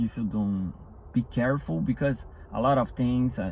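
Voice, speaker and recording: At a fairly slow pace, a man talks with a non-native accent. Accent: non-native English, self-described rusty. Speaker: motivational speaker. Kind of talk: motivational talk. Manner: halting, with repetitions.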